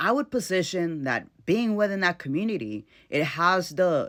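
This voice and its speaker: A man with an American accent at a fairly slow pace, very wide pitch swings, on a very clean recording with a silent background. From South Central Los Angeles. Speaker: social media commentator. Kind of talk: opinion monologue to camera.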